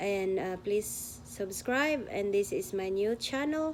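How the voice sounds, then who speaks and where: A woman's fairly high voice in a Filipino accent, at a very slow pace. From Philippines. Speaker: vlogger. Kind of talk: testimony.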